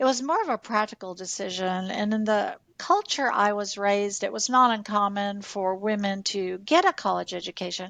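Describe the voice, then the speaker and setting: On a very clean recording with a silent background, a woman uses a normal speaking voice at medium pitch, moderate pace, ordinary pitch variation and hardly any pauses. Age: 60s. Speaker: nurse and former hospital executive. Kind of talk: podcast interview.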